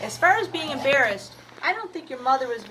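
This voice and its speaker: A woman's voice swings very widely in pitch, with noticeable background noise and audible room echo. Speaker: seed shop owner answering gardening questions. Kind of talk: casual video answering questions. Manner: halting, many fillers.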